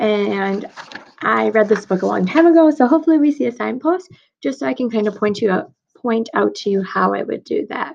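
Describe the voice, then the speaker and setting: In a raspy, put-on character voice, a woman speaks at a fairly quick pace. Her fairly high pitch swings very widely. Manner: talking fast.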